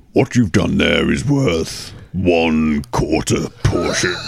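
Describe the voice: In a put-on character voice, a man speaks very slowly at a very deep, low pitch.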